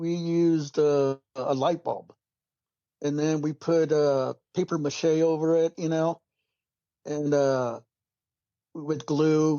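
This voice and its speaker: Very slowly and with long, frequent pauses, a man speaks in a monotone, flat intonation at a fairly high pitch. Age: 60s. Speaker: call-in guest recounting alien encounters. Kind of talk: casual storytelling conversation. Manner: halting, with fillers.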